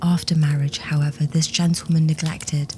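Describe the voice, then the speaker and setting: Against noticeable background noise, a woman speaks with a fairly low pitch in a monotone, flat intonation. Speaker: ASMR horror story narrator. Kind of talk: ASMR horror story reading, sleep-friendly. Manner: whispered, gentle, soothing.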